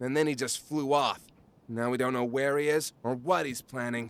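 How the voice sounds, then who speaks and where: Putting on a cartoonish character voice, a man speaks at a medium pitch. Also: moderate pace. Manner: sarcastic, scornful.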